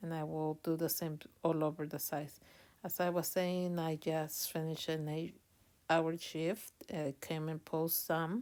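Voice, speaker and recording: A woman's very deep, low voice with a non-native accent, flat and monotone, at a fairly slow pace. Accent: non-native accent, noticeable. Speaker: online reseller youtuber. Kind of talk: packaging tutorial vlog. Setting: at home late at night. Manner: hesitant with many fillers.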